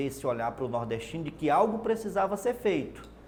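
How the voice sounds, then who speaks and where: A man speaks with a northeastern Brazilian accent and very wide pitch swings. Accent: Brazilian northeastern accent, kept. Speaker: TV reporter, journalist. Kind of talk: interview. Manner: hesitant, repeats words.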